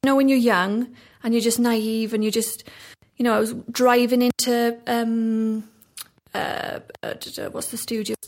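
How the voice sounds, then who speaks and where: In a South Wales accent, the speaker keeps a moderate pace and a monotone, flat intonation, with big swings in loudness and long, frequent pauses. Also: woman, fairly high pitch for a woman. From South Wales, Ammanford. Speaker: actress. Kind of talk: casual chat.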